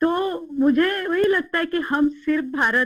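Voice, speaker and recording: This woman speaks in a Marathi accent. Her tone is bright and sharp. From Maharashtra, India. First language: Marathi (speaking Hindi). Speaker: interview guest. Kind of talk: interview.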